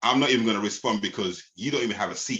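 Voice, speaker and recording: This man speaks at a very fast pace with a bright, sharp tone at a medium pitch. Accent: London. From London. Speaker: spoken word poet. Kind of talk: spoken word performance. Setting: podcast. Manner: rhythmic.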